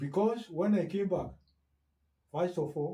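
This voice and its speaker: Somewhat breathy with a dark, mellow tone, a man speaks at a very slow pace with lively intonation. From Kenya. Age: 80s+. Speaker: retired teacher and education officer. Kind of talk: interview answer.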